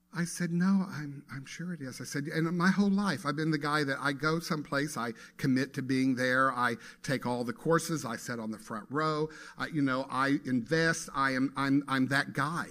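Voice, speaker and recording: In a very clean recording with a silent background, a man with fairly high pitch and a bright, sharp tone talks at a moderate pace. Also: ordinary pitch variation. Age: 60s. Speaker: guest speaker at a spiritual center. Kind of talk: sermon. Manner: conversational.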